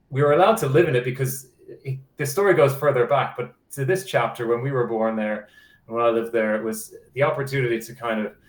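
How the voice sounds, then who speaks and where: A man at a fairly quick pace, somewhat breathy, with ordinary pitch variation. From Ireland, Dublin. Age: 40s. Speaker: museum director and underwater archaeologist. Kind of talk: interview. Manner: hesitant, many fillers.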